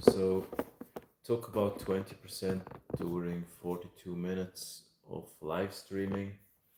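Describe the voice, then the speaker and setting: In a Swiss German accent, a man speaks in a very deep, low, monotone voice at a fairly slow pace, with big swings in loudness and long, frequent pauses. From Switzerland. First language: German (Swiss). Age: 30s. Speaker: live streamer. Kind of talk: casual chat. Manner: halting.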